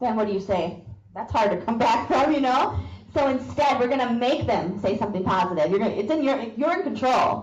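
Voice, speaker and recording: A woman with an American accent talks at a fairly quick pace in a fairly high voice, with lively intonation and very even loudness, over noticeable background noise and audible room echo. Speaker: sales trainer. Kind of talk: training talk. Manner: animated.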